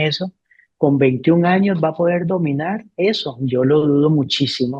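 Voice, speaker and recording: At a moderate pace, a man talks in a plain, everyday voice that sits fairly high. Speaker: educator. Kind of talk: interview.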